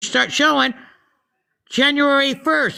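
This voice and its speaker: Projecting her voice at a high pitch, a woman talks very slowly in a bright, sharp tone with ordinary pitch variation, recorded very cleanly against a silent background. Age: 60s. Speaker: social media livestreamer. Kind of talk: casual chat. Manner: animated.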